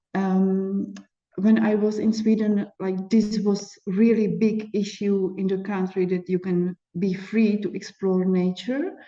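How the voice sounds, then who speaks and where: Speaking very slowly in a flat monotone, a woman with a Czech accent has a dark, mellow tone. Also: medium pitch for a woman. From Czech Republic. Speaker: life coach and yoga instructor. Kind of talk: interview.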